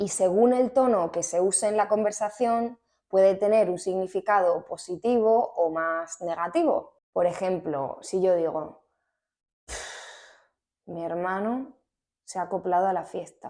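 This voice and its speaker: Speaking at a fairly slow pace, a woman with a dark, mellow tone and medium pitch shows ordinary pitch variation on a very clean recording with a silent background. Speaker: Spanish teacher. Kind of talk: language lesson to camera.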